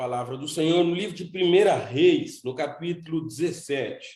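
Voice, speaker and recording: Audible room echo surrounds a man with a dark, mellow tone. He speaks at a fairly slow pace with fairly even intonation. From Cape Verde, São Nicolau island. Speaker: seminary director and preacher. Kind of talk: sermon. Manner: halting, with repetitions.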